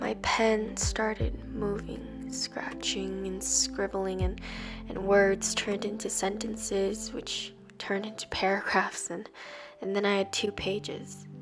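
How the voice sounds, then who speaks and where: Music plays in the background. The speech comes at a fairly slow pace. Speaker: poet. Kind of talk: spoken word poetry reading.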